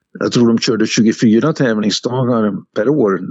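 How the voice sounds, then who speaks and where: A man's medium-pitched voice at a very slow pace, with ordinary pitch variation. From Hälsingland, Sweden. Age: 70s. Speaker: horse trainer. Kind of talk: interview. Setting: phone call.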